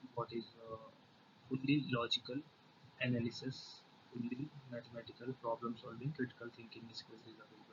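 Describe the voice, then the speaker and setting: Speaking at a fairly quick pace with long, frequent pauses, a man with an Indian accent and medium pitch uses monotone, flat intonation, with big swings in loudness. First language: Hindi. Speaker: programming tutor. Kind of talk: tutorial. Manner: halting, many fillers.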